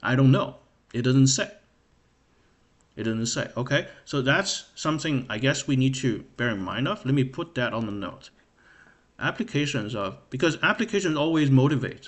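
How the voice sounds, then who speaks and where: A man with a non-native accent speaks at a medium pitch. He pauses often and at length. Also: lively intonation, moderate pace. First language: not English. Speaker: math livestreamer. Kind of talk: livestream study session. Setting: live stream. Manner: hesitant, many fillers.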